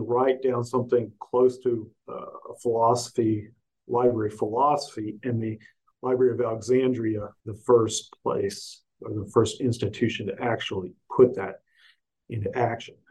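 This man has an American accent and a medium-pitched, somewhat breathy voice. He keeps a moderate pace. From US South, Augusta, Georgia. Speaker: professor and author. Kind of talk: interview. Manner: halting, many fillers.

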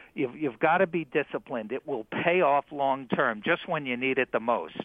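A man talks in an ordinary speaking voice at a moderate pace. His intonation is lively. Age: 60s. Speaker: retirement finance expert. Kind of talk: interview. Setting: studio.

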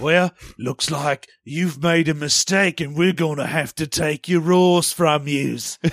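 Putting on a character voice, a man with a fairly high pitch talks at a fairly slow pace. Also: very clean recording, silent background. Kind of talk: old-timey. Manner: menacing, confiscating.

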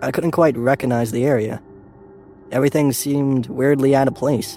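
A fairly quick pace with music in the background. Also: man. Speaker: narrator of a scary story. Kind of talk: ghost story telling, first-person spooky narration. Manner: dramatic, with fear and dread building.

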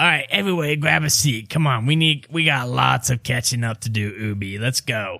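Putting on a character voice, a man sounds raspy and nasal at a medium pitch, moving at a moderate pace with lively intonation and hardly any pauses. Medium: actual play. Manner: folksy, overly chummy.

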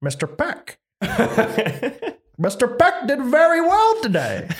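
A man in a put-on character voice talks very slowly at an extremely high pitch.

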